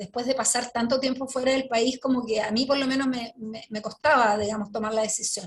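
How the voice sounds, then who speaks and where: Speaking in a normal speaking voice, a woman with a fairly high pitch talks at a fairly quick pace, keeping her intonation fairly even while her loudness swings widely. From Chile, Santiago. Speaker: Justice minister, sociologist. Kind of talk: interview answer.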